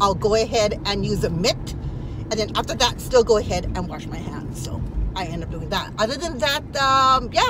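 A woman speaks at a moderate pace over noticeable background noise, the sound dry with no echo. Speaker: lifestyle vlogger. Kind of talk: casual vlog chat. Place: car. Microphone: phone near.

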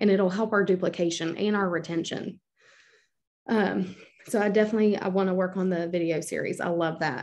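Over a quiet background, a woman talks at a medium pitch with fairly even intonation. She has an unremarkable speaking voice. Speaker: team leader running a team call. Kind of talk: casual team training call. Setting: video call. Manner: encouraging, talkative.

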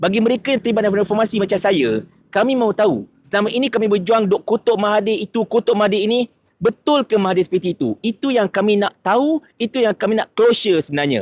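A man's high-pitched voice at a very fast pace, dry and close with no echo, very even in loudness and ordinary in pitch variation. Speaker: political commentary youtuber. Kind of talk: video commentary monologue.

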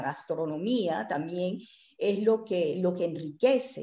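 A woman's dark, mellow tone at a fairly slow pace, lively intonation, audible room echo and a quiet background. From Mexico (born in Puebla); Mexico. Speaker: presenter. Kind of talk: interview. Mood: warm, animated. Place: home room. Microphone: video call.

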